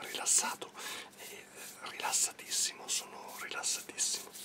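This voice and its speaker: Loud background noise fills the clip. A soft-spoken man talks at a fairly slow pace. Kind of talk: soft ASMR role-play talk. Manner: soft, hushed ASMR voice. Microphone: phone near.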